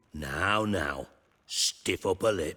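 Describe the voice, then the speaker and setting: Growling in a put-on character voice, a man drops to a very deep, low pitch, the sound dry and close with no echo. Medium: video game. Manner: clipped, dry, sardonic.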